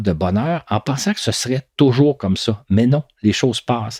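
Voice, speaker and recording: The voice is somewhat breathy and dark and mellow in tone, recorded very cleanly against a silent background with a dry, close sound and no echo. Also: man. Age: 60s. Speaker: podcast storyteller. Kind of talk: reflective monologue. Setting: home recording.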